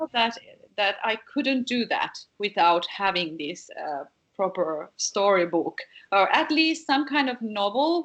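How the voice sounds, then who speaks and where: At a fairly slow pace, a woman speaks at medium pitch with very wide pitch swings. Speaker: singer and songwriter. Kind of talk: interview. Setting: video call. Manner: halting, many repetitions.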